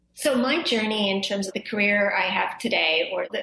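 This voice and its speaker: A woman speaks at a moderate pace and medium pitch, with noticeable background noise behind her. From Zambia, then small-town Canada from age eight. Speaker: professor and speech scientist. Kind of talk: interview.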